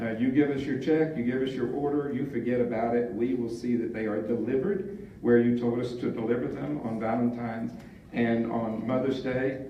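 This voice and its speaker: Speaking at a fairly quick pace, a man uses a medium pitch with ordinary variation. Noticeable background noise and audible room echo are present. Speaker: club volunteer presenter. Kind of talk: conference presentation.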